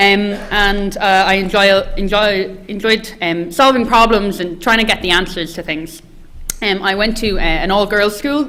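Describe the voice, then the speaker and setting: The woman's medium-pitched voice, moderately paced with ordinary pitch variation, is heard against noticeable background noise. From west of Ireland, County Mayo. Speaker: engineering postgraduate student. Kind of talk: presentation to prospective students. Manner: hesitant, many fillers.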